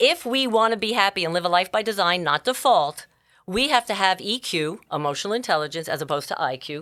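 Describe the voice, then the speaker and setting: A woman speaks very fast in a New York accent, her tone bright, sharp and animated, at a medium pitch. The recording is very clean, with a silent background. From New York City (Bronx). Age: 60s. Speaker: life coach and entrepreneur. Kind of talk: podcast interview.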